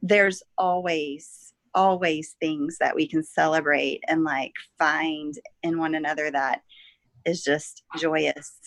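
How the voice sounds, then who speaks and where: A woman with an American accent speaks at a very deep, low pitch. Her delivery is very slow, with monotone, flat intonation. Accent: Southern US, coming back. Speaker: podcast co-host. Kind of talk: casual chat.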